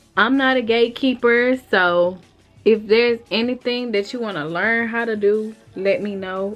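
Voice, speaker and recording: A woman talks at a moderate pace in a fairly high pitch. Music plays in the background. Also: fairly even intonation. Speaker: vlogger and home hair stylist. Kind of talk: casual vlog chat to camera. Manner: casual, conversational.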